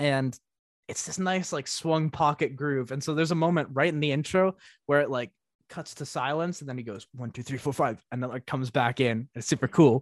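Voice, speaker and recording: In a very clean recording with a silent background and a dry, close sound with no echo, a man with an American accent speaks at a moderate pace and fairly high pitch with ordinary pitch variation, using a plain, everyday voice. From US Northeast. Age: young (19). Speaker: music producer and DJ. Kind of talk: casual interview chat.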